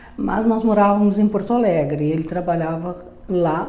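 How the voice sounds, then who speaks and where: A woman talks over noticeable background noise, with audible room echo. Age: 80s+. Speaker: retired teacher, company co-founder. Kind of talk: interview testimony. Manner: halting, many fillers.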